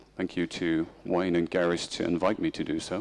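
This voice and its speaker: Music plays in the background as a man with a German accent speaks at a moderate pace. His intonation is flat and monotone. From Germany. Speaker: information security expert. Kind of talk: conference presentation. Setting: conference stage with audience.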